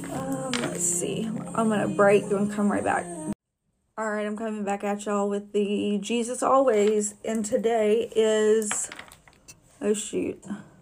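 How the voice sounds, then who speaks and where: This woman talks at a fairly slow pace, her voice at a medium pitch. Her intonation stays fairly even. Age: 40s. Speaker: podcaster. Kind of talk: casual monologue.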